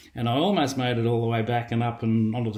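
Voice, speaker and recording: A man talks at a very fast pace with an Australian accent. His voice is medium-pitched. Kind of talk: testimony. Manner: casual, with many fillers (um, uh).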